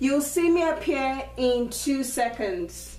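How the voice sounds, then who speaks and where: A woman speaks with a strong Nigerian accent. Room echo is audible around her voice. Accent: thick Nigerian. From Nigeria (Lagos). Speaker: schoolteacher. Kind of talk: video Q&A for schoolchildren. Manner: clear, slightly halting with ums.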